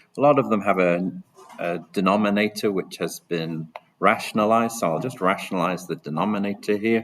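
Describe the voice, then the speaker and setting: A man speaks in a normal speaking voice at a fairly low pitch. His pace is fairly quick, with ordinary pitch variation. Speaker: maths teacher. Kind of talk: tutorial.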